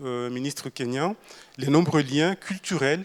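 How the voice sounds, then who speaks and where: A man with a Mayotte accent, fairly high in pitch, at a fairly slow pace. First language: Shimaore (speaking French). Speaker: government minister. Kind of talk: panel talk. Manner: halting, many filler sounds.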